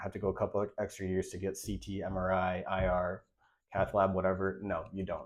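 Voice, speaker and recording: The voice moves at a very fast pace against a quiet background. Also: man. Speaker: radiologic technologist and channel host. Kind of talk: advice video, casual talk to camera. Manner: casual, conversational.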